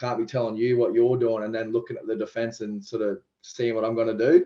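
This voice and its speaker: A man speaks very fast with an Australian accent. His medium-pitched voice stays monotone and flat. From Queensland, Australia (Toowoomba). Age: 20s. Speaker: professional rugby league player. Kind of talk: podcast interview. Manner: talkative.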